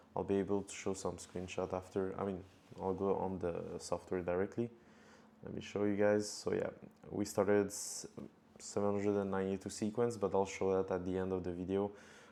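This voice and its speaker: Fairly low in pitch, a man's voice has a dark, mellow tone and a strong French accent. He talks at a fairly quick pace with monotone, flat intonation. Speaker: cold email marketer. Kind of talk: tutorial.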